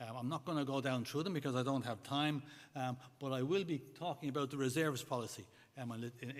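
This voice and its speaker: With an Irish accent, a man talks at a very fast pace using fairly even intonation. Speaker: church governance board presenter. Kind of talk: conference report.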